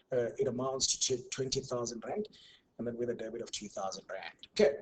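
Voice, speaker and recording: The man sounds somewhat breathy. His speech moves fairly quickly. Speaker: university tutor. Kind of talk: online tutorial. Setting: online class.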